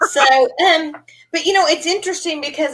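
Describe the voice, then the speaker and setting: Lively intonation carries this woman's speech. She talks with a Texan accent. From East Texas. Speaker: podcast host, business coach. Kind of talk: interview. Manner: animated.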